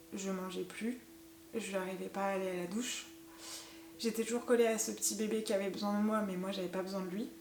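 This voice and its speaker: Over noticeable background noise and audible room echo, a woman talks at a fairly quick pace. Her pitch is medium and her intonation fairly even. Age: 30s. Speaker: mother sharing postpartum experience. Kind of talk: personal testimony. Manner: hesitant, many fillers.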